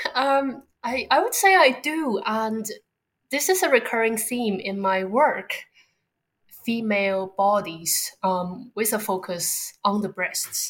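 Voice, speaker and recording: A woman with a Chinese accent speaks at a very slow pace, her pitch fairly high and her intonation lively. The recording is very clean, with a silent background. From Beijing, China. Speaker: artist and ice cream maker. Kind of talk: casual interview conversation.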